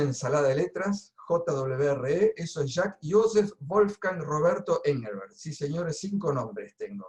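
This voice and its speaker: A man with a plain, everyday voice, pitched fairly high for a man. He talks at a fairly slow pace with lively intonation. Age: 60s. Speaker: coach and trainer. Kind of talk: webinar presentation. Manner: casual.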